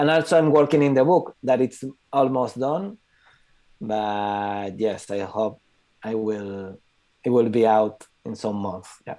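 Against a quiet background, a man with a Spanish accent talks at a fairly slow pace in a dark, mellow tone, with ordinary pitch variation and long, frequent pauses. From Catalonia, Spain. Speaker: photographer. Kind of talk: presentation. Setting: video call. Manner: halting. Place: home room. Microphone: earbuds.

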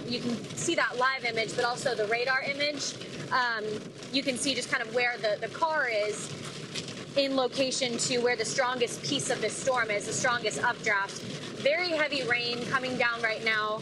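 Noticeable background noise beneath a woman talking at a moderate pace. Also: dry sound with no echo. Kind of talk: live news field report. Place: car.

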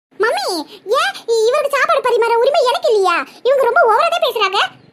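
In a squeaky, cartoonish character voice, a woman talks at a fairly quick pace with an extremely high pitch, lively intonation and very even loudness. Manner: sly, cheeky.

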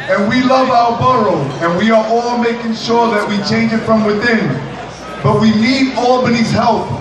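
Audible room echo and noticeable background noise fill the recording. A man talks at a moderate pace. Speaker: borough president. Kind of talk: raffle draw patter, playful MC-style calling of a winner's name. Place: hall.

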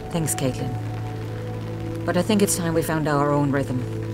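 Noticeable background noise runs under a woman speaking at a moderate pace. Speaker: actress, voice-over artist. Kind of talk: drama scene. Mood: calm, firm. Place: street.

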